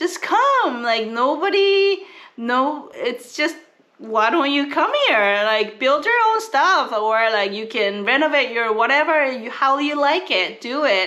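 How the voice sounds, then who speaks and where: Over noticeable background noise, a woman projects a raised, high-pitched voice very slowly, her pitch swinging very widely. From South Korea. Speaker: family travel vlogger. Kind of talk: casual vlog chat.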